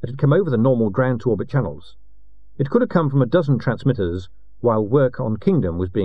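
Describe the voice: Lively intonation in plain reading aloud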